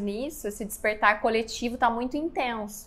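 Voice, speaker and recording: A woman speaks in a plain, everyday voice at a fairly high pitch. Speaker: podcast host and spiritual mentor. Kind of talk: interview.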